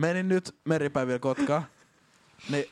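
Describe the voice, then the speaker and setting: In a dry, close recording with no echo, a man speaks fairly slowly at a fairly high pitch with ordinary pitch variation. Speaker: podcast co-host. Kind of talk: casual chat.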